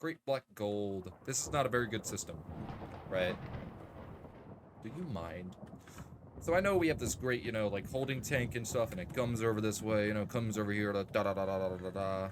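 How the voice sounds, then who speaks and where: A man talks at a fairly quick pace. He leaves long, frequent pauses. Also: fairly low pitch for a man, ordinary pitch variation. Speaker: gaming youtuber. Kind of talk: let's play commentary. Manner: casual, rambling with fillers.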